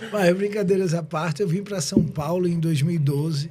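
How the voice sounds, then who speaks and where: Moderate pace from a man, somewhat breathy, his tone dark and mellow. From southern Brazil (Rio Grande do Sul). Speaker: tax lawyer and entrepreneur. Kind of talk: podcast interview.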